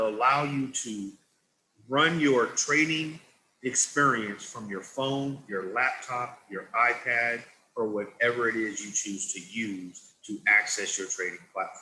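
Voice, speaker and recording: In a room with audible echo, a man with a medium-pitched voice talks at a fairly slow pace with ordinary pitch variation. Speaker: product trainer. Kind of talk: product training presentation. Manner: deliberately slowed-down pace. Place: home room. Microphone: video call.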